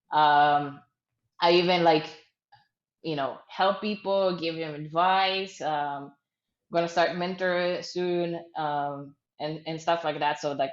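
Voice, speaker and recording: Fairly low in pitch, a woman with an Israeli accent speaks with fairly even intonation. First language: Hebrew. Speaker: startup founder. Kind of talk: interview. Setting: video call. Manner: hesitant, many fillers.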